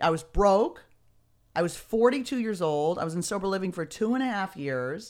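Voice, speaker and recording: A woman in a Californian accent speaks with lively intonation at a fairly low pitch on a very clean recording with a silent background. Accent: Californian American. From Beverly Hills, Los Angeles. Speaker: comedian and author. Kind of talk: casual interview. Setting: studio, streamed live.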